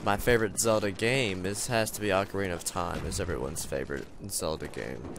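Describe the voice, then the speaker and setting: Amid noticeable background noise and audible room echo, a man with a very deep, low pitch speaks at a moderate pace. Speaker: gaming video creator. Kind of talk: casual gameplay commentary. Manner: halting, many fillers.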